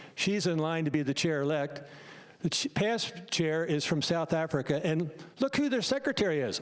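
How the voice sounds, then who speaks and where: A man with a plain, everyday voice and an American accent speaks at a moderate pace, his fairly high pitch carrying lively intonation at a very even loudness. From United States. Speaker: medical doctor. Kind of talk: public meeting presentation.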